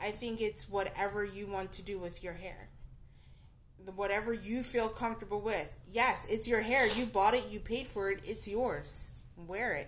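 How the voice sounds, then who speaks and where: This speaker has an American accent and ordinary pitch variation. The pace is moderate. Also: woman. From New Jersey. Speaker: podcast co-host. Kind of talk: casual chat. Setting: drinking at home. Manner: animated.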